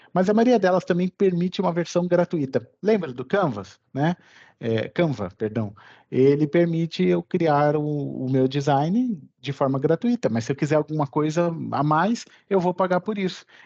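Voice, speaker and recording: Over a quiet background, a man with a fairly high voice and a dark, mellow tone speaks with lively intonation at a moderate pace, the sound dry and close with no echo. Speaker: course instructor. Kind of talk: online lecture. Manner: animated.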